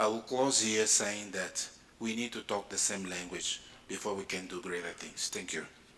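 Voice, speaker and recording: Over music in the background, a man talks at a moderate pace with a fairly low pitch and fairly even intonation. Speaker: space agency director. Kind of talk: conference panel talk.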